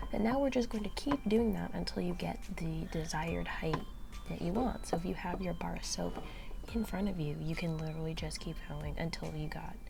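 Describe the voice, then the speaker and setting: Soft-spoken and whispering, the voice moves at a fairly quick pace. Noticeable background noise is present. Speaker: crochet tutorial youtuber and visual artist. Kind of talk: tutorial. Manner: soft-spoken, near whisper; hesitant, many fillers.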